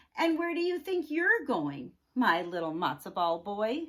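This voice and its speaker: Using a put-on character voice, a woman talks at a moderate pace with a fairly high pitch and very wide pitch swings. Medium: read story. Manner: fussing, motherly.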